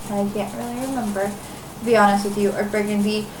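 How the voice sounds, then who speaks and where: Noticeable background noise and audible room echo surround speech delivered at a moderate pace. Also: woman. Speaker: crafting podcaster. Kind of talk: casual chat. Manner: rambling, many fillers.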